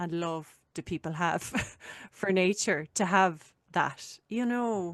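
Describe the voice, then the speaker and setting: A woman with an Irish accent speaks very slowly at a fairly low pitch with ordinary pitch variation, the sound dry and close with no echo. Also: quiet background. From Ireland. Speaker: podcast host. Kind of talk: casual chat.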